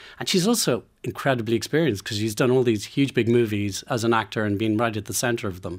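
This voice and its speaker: On a very clean recording with a silent background, a man with an Irish accent talks at a very fast pace with hardly any pauses, his medium pitch showing ordinary variation. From Ireland. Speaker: film producer. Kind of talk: radio interview. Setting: radio studio. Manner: halting.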